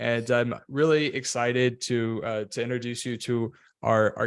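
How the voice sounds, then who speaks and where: Against a quiet background, a man with an American accent talks at a moderate pace in a medium pitch with monotone, flat intonation. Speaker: podcast host. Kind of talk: interview podcast. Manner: frequent filler words.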